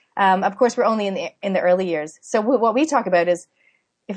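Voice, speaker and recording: A woman talks at a fairly quick pace in a medium pitch, with an unremarkable speaking voice. Her intonation is lively. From Canada. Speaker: parenting author and podcaster. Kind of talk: interview. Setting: remote call.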